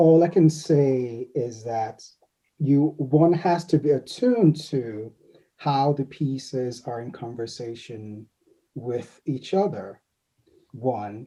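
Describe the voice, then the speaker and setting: In a quiet background, a man with a dark, mellow tone and medium pitch speaks at a very slow pace, somewhat breathy, with ordinary pitch variation. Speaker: anthology editor, panelist. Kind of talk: panel discussion.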